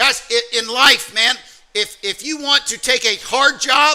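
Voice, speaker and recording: A man speaks in a raised, projected voice with an American accent. His pitch varies in an ordinary way, and there is noticeable background noise. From US South, Alabama. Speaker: trading mentor. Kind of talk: motivational workshop talk.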